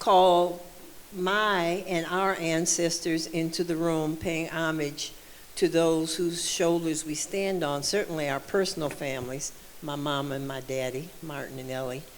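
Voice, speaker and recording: A woman speaks slowly-ish, at a fairly slow pace with a fairly low pitch and fairly even intonation. Audible room echo surrounds her voice. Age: 70s. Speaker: panelist, alumna. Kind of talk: panel talk. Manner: halting.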